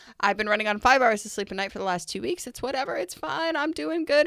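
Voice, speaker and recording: A woman uses a raspy, put-on character voice at a fairly high pitch. She talks at a very fast pace. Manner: fast, hyper.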